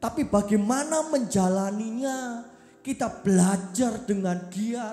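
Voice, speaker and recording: A woman's fairly high voice in an East Javanese accent, very slow, with lively intonation and audible room echo. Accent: East Javanese Blitar accent, kept. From East Java (Blitar area). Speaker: youth preacher. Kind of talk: sermon with interview.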